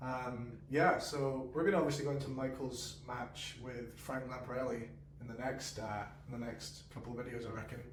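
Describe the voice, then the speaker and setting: A man's medium-pitched voice at a moderate pace with fairly even intonation, plus noticeable background noise and audible room echo. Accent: Scottish. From Scotland. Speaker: podcast co-host. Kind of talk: casual chat. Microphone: poor mic quality.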